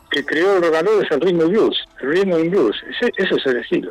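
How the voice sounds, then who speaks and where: Lively intonation from a man at a moderate tempo, noticeable noise in the background. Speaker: rock musician, pianist. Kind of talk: interview.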